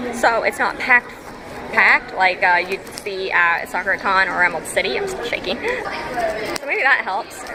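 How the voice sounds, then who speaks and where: Amid crowd noise and audible room echo, a woman talks at a moderate pace in a medium-pitched voice with ordinary pitch variation. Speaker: cosplayer. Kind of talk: casual chat. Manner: soft-spoken.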